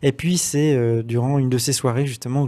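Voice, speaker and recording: A man's intonation stays fairly even as he talks at a moderate pace, with a quiet background behind him. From Brittany, France. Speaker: interview guest. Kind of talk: interview testimony. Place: studio. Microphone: studio mic.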